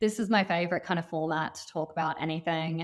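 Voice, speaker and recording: On a very clean recording with a silent background, a woman with an Australian accent speaks with fairly even intonation. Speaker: company founder. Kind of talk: casual chat.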